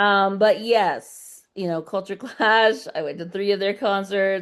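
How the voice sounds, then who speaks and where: Against a quiet background, a woman with an unremarkable speaking voice talks at a fairly slow pace and medium pitch, her intonation fairly even. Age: 50s. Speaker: burlesque performer. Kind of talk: casual chat.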